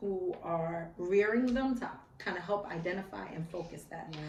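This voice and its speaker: Noticeable background noise and audible room echo fill this recording. A woman speaks at a fairly slow pace with a fairly low pitch and fairly even intonation. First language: American Sign Language. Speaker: school social worker and public speaker. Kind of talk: interview.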